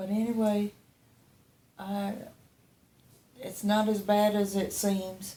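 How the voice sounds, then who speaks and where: Speaking very slowly with long, frequent pauses, a woman keeps a monotone, flat delivery at medium pitch, her tone dark and mellow and somewhat breathy. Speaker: patient after deep brain stimulation surgery. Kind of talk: casual video update.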